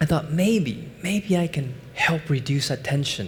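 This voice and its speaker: Speaking in a Chinese accent, a man with a fairly high pitch and a somewhat breathy voice uses lively intonation at a fairly slow pace. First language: Mandarin Chinese. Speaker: finance professor and investment executive. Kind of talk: conference talk. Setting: stage with audience.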